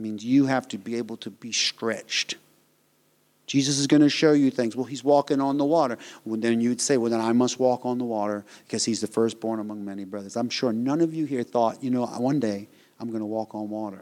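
In a very clean recording with a silent background, a man speaks with fairly even intonation. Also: medium pitch for a man. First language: not English. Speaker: preacher. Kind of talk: sermon. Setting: church.

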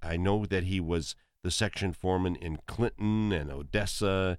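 At a fairly slow pace, a man with an Upper Midwest accent speaks in a very deep, low pitch with ordinary pitch variation. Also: very clean recording, silent background. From eastern South Dakota. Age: 60s. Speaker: musician and entertainer. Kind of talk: casual chat. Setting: studio.

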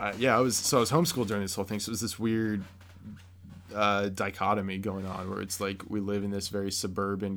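A man speaks with a Midwestern American accent at a fairly low pitch. His intonation is monotone and flat. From Ohio, US Midwest. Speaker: podcast guest, friend of host. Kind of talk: casual chat.

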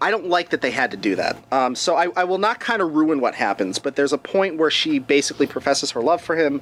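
Noticeable background noise sits behind this man's voice. He speaks at a fairly high pitch with lively intonation. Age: 40s. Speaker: BDSM film reviewer. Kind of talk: casual podcast chat reviewing movies.

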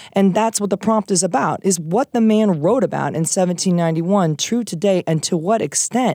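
A woman's medium-pitched voice with an American accent and a dark, mellow tone, at a fairly quick pace with hardly any pauses, very even loudness and ordinary pitch variation, in a dry, close sound with no echo. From Iowa. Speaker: high school English teacher. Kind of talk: casual chat. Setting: studio.

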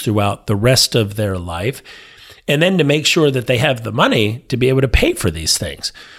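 Energetic and lively in intonation, a man speaks at a moderate pace and medium pitch. The recording is very clean, with a silent background. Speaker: financial planner. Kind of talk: casual chat.

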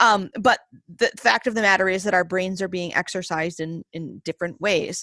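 A woman with an American accent speaks in an ordinary speaking voice at a moderate pace, with ordinary pitch variation. The sound is dry and close with no echo, in a very clean recording with a silent background. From US Northeast, Maine. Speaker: English professor and author. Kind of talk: interview conversation.

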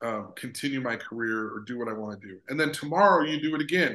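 A man talks in a normal speaking voice with an American accent, medium in pitch. His pace is moderate and his pitch variation ordinary. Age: 40s. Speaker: sports psychologist. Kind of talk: casual chat.

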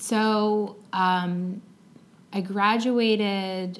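Monotone, flat intonation in an American accent, with audible room echo. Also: woman. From Long Island, New York. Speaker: teacher. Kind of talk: interview conversation. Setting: classroom.

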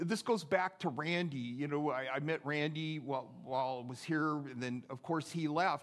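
A man talks at a fairly slow pace and a fairly high pitch, with ordinary pitch variation. He has a plain, everyday voice. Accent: American. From US Pacific Northwest (Seattle). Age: 60s. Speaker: pastor. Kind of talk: sermon. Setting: church.

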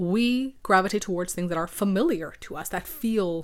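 A woman with a medium pitch and a raspy voice talks at a moderate pace.

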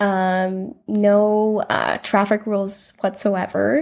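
Very slow speech from a woman with an Upper Midwest accent, medium in pitch. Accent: Upper Midwest American. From US Midwest, South Dakota. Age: 20s. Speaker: tax accountant, visitor on a mission trip. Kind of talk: casual interview chat. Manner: hesitant, many fillers.

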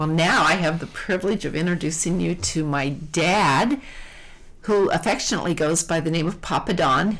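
The woman's pitch shows ordinary variation. Her pace is moderate. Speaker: podcast host. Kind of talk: interview.

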